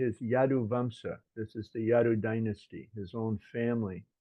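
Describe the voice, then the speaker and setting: At a moderate pace, a plain, everyday voice speaks with an American accent. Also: man. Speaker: religious teacher. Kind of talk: scripture lecture with consecutive interpretation.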